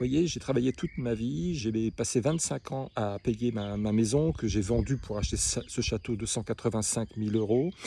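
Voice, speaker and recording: At a moderate pace, a man speaks with medium pitch. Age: 60s. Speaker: small business owner. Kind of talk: personal monologue. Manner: halting; emotional.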